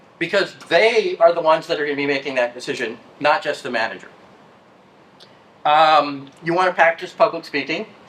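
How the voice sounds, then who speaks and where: The speech moves at a fairly quick pace yet has long, frequent pauses, with noticeable background noise behind it. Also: man, fairly high pitch for a man, ordinary pitch variation. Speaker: IT field engineer, conference speaker. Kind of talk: conference talk.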